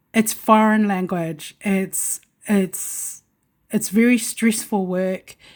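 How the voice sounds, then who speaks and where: This very clean recording has a silent background. A woman at medium pitch speaks at a very slow pace with fairly even intonation. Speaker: self-represented litigant vlogger. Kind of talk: personal testimony monologue. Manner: halting, many fillers and repetitions.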